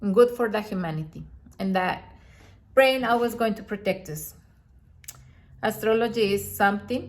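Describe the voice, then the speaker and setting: Speaking with a non-native accent, a woman leaves long, frequent pauses and her loudness swings widely. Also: medium pitch for a woman, ordinary pitch variation, moderate pace. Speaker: astrologer. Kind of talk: video monologue. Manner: halting.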